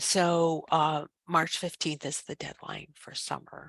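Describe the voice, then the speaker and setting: A woman with a fairly low pitch speaks at a very slow pace. The sound is dry and close, with no echo. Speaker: professor. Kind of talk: information session presentation. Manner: hesitant with many fillers. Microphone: headset microphone close to mouth.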